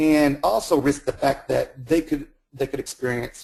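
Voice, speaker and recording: A man's fairly high, somewhat breathy voice with a dark, mellow tone and fairly even intonation. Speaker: health center administrator. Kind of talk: webinar presentation. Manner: fast; halting, repeats words.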